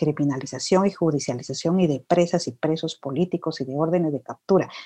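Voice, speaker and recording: A woman's very deep, low voice with ordinary pitch variation at a fairly quick pace. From Guatemala. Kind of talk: interview. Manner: reflective, hesitant with fillers.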